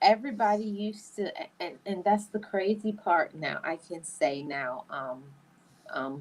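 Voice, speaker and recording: Here is a woman with a plain, everyday voice and a fairly low pitch. She talks at a moderate pace with lively intonation. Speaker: podcast host. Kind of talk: casual chat.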